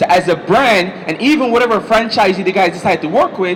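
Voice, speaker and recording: A man speaks with ordinary pitch variation. Noticeable background noise is present. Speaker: marketing seminar speaker. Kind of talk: seminar presentation. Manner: fast.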